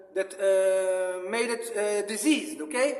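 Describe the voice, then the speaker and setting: With a non-native accent and high pitch, a man speaks at a fairly slow pace with lively intonation, amid audible room echo and noticeable background noise. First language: not English. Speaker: religious apologetics vlogger. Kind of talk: religious monologue. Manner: halting, many fillers.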